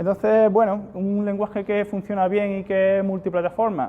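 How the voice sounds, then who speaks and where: Speaking at a fairly quick pace, a man talks with an Andalusian accent. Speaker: software security engineer. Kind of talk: conference talk with live demo.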